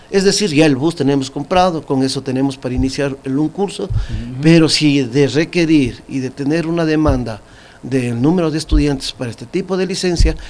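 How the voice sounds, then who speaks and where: A man at a moderate pace, with ordinary pitch variation. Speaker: TV interviewee. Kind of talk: interview answer. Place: studio. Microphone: studio mic.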